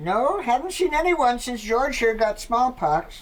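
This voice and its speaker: Using a put-on character voice, a woman speaks high and fairly slowly. Her pitch swings very widely over light background noise. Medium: comedy sketch. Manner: deadpan, sly.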